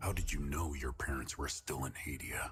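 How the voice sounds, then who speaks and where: A man puts on a character voice with a very deep, low pitch at a moderate pace. His loudness stays very even, and clear music plays in the background. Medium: video game. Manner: calm, cold, controlled.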